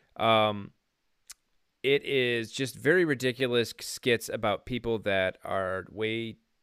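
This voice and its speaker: A man with an ordinary speaking voice talks at medium pitch with ordinary pitch variation, the sound dry and close with no echo. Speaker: co-host. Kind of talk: casual banter podcast.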